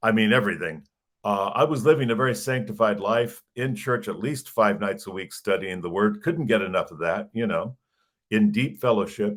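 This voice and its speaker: With an American accent, a man speaks in an unremarkable speaking voice. His medium pitch shows ordinary pitch variation at a moderate pace. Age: 60s. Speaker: pastoral counselor and author. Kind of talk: interview testimony.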